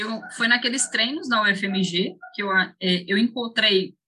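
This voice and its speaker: A woman's plain, everyday voice, fairly slow, with ordinary pitch variation. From Brazil, Ceará interior, raised in Belo Horizonte from age 8. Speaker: professional mountain bike racer. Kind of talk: interview.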